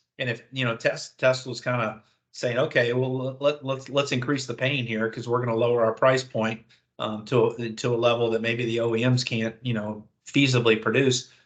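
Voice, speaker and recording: A man speaks at a fairly quick pace. His pitch is medium and his intonation monotone and flat. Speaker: auto industry dealership advisor. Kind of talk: webinar presentation. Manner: fast.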